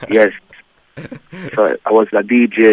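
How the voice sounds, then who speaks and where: Monotone, flat intonation from a man with a fairly low pitch. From Jamaica, Clarendon (rural). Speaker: reggae singer. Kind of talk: radio interview.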